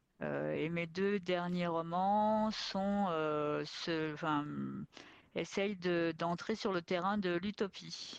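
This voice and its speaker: Her pitch fairly low, a woman speaks at a very slow pace with fairly even intonation and very even loudness. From France, working-class neighbourhood. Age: 50s. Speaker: science fiction author. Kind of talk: long-form interview. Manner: unforced, comfortable speaking level.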